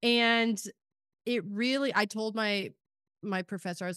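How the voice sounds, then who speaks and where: A plain, everyday voice: a woman with an American accent, medium pitch, ordinary pitch variation and a fairly slow pace, over a quiet background. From Kansas, rural farm. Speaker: podcast host. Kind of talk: casual chat.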